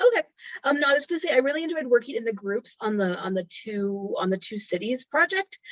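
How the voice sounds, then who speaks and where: A woman's high voice at a very fast pace, with very wide pitch swings and a dry, close sound with no echo. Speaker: workshop participant. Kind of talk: group feedback on video call. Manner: halting, stuttering today.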